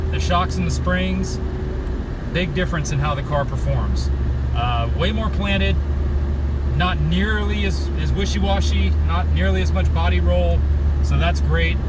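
A man at a fairly slow pace, dry sound without echo, over loud background noise. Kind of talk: casual vlog chat. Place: car. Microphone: phone near.

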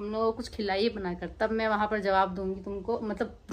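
A woman is speaking. Her pace is moderate. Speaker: family vlogger. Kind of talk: casual vlog chat. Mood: playful, chatty. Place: home room. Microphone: phone near.

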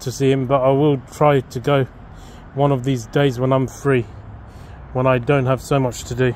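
A man's monotone, flat intonation, dry with no echo, over light background noise. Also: moderate pace. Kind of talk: casual vlog chat. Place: garden. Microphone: phone near.

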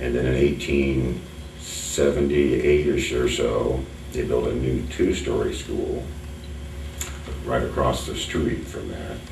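With an American accent, a man speaks at a fairly slow pace in a very deep, low voice. His intonation is monotone and flat, with noticeable background noise. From Collamer, Whitley County, Indiana. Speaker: local history museum owner. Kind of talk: oral history interview answer. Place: meeting room. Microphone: camera far.

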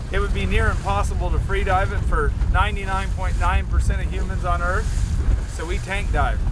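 A man's fairly slow speech comes with noticeable background noise behind it. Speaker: fishing vlogger. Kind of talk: casual vlog chat. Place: boat. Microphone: phone near.

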